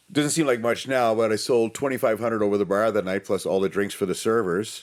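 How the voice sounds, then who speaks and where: With a Canadian accent, the speaker talks at a very fast pace, with very even loudness and ordinary pitch variation. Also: man, medium pitch for a man. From Ontario, Canada (near Ottawa). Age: 50s. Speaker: veteran bartender. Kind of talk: casual interview chat.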